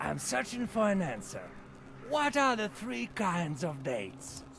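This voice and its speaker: A man puts on a character voice with a fairly high pitch, speaking at a fairly slow pace over clear background noise. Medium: video game.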